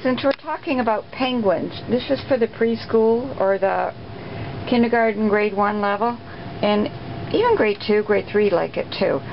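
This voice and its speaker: A woman's fairly high voice at very even loudness, over noticeable background noise. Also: ordinary pitch variation, moderate pace. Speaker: craft demonstrator. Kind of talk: tutorial. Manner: casual, hesitant.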